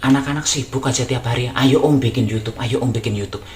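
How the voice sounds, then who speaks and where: Very fast speech in a Javanese accent over noticeable background noise. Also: man. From Java, Indonesia. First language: Javanese (speaking Indonesian). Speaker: YouTuber. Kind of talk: casual vlog talk. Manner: halting, many fillers.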